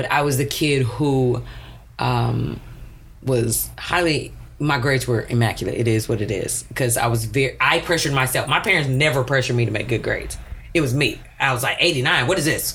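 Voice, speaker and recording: Audible room echo surrounds a woman with an American accent who speaks at a fairly quick pace and very even loudness. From US South, Houston area, Texas. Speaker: math and science teacher. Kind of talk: casual chat.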